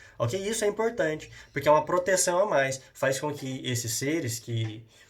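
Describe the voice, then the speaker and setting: With a fairly high pitch, a man's voice swings through very wide pitch changes. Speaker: school science teacher. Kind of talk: lecture. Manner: fast; halting.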